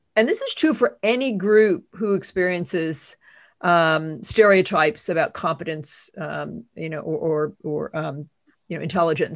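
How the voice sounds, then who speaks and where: In a very clean recording with a silent background, a woman speaks in an ordinary speaking voice, fairly low in pitch, with ordinary pitch variation. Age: 60s. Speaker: author and imposter syndrome expert. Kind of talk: interview conversation.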